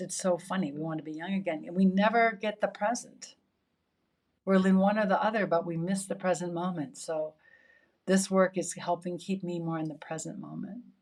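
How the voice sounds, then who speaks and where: Her loudness swinging widely, a woman uses a normal speaking voice at a medium pitch and moderate pace with fairly even intonation. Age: 60s. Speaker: yoga teacher. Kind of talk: interview conversation.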